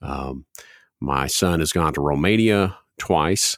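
On a very clean recording with a silent background, a man with a very deep, low pitch and vocal fry speaks with ordinary pitch variation in a dry, close sound with no echo. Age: 40s. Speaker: student ministry director, podcast host. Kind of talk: casual chat.

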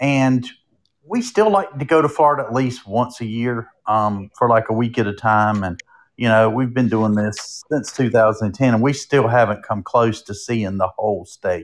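A man with a North Carolina accent speaks at a moderate pace and a medium pitch. His pitch varies in an ordinary way, in a very clean recording with a silent background. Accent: Southern US, North Carolina. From North Carolina, Durham. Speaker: creator of a roadside travel page. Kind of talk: casual interview.

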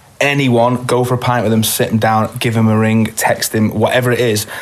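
With noticeable background noise around him, a man speaks at medium pitch and a fairly quick pace. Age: 20s. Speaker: singer and venue owner. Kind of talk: casual chat.

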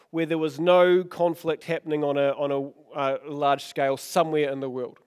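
A man talks at a moderate pace with a New Zealand accent. The recording is very clean, with a silent background. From New Zealand, Oamaru. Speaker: pastor. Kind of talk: sermon. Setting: church.

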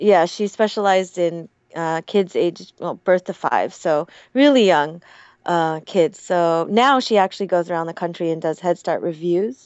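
A woman speaks at a moderate pace in an ordinary speaking voice, fairly low in pitch with ordinary pitch variation. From Hawaii and Oregon. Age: 30s. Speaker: English teacher and Korean adoptee. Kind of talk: casual interview chat.

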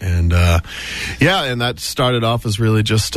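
With an American accent, a man talks at a moderate pace in a plain, everyday voice with fairly even intonation. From Massachusetts South Shore. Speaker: musician. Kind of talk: interview chat. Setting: radio studio.

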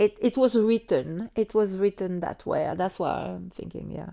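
With a French accent, a woman talks at a fairly slow pace in a medium pitch, her tone dark and mellow. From France, Savoie Alps. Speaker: London immigrant sharing life story. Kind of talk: personal storytelling interview. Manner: halting with frequent hesitations.

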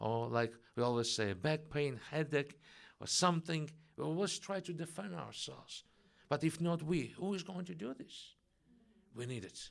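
Speaking with a Russian accent at a moderate pace, a man uses lively intonation and a fairly high pitch, leaving long, frequent pauses, on a very clean recording with a silent background. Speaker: preacher at Messianic congregation. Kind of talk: sermon. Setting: church congregation.

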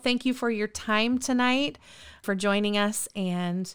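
At a moderate pace, a woman speaks in a bright, sharp, enthusiastic tone. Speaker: podcast host. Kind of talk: casual group interview and prayer. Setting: video call.

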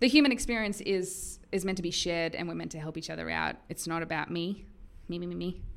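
In an Australian accent, a woman speaks very fast at a fairly low pitch with ordinary pitch variation. The recording is very clean, with a silent background. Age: 20s. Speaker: video blogger. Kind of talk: casual vlog monologue. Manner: animated.

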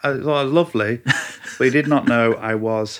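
A man in a Mancunian accent with lively intonation. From Manchester, northern England. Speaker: chef. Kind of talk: casual chat. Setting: host's home.

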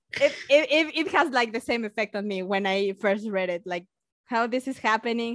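Speaking at a moderate pace, a woman with a Mexican accent has a fairly high pitch. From Mexico. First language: Spanish. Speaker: science YouTuber and biologist. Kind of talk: casual interview chat. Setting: video call remote podcast.

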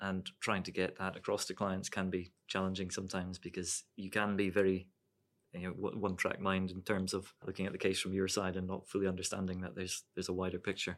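In a southern Scottish accent, a man speaks very fast with a very deep, low pitch and monotone, flat intonation, on a very clean recording with a silent background. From Scotland, Dumfries. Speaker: lawyer. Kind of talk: casual professional discussion. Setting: studio.

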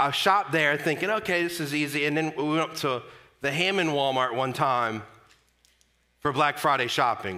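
The delivery keeps a moderate pace and ordinary pitch variation. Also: man. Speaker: pastor. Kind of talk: sermon. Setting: church. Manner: loud; animated.

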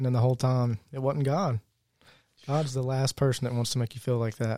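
A man with a Virginia accent and a dark, mellow tone, in a dry, close sound with no echo. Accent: Southern US (Virginia). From Virginia, US. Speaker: church member, new convert. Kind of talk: testimony.

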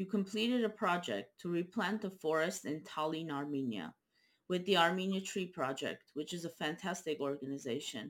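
A woman's normal speaking voice, fairly low in pitch, with lively intonation at a moderate pace. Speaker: interviewer. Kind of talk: interview.

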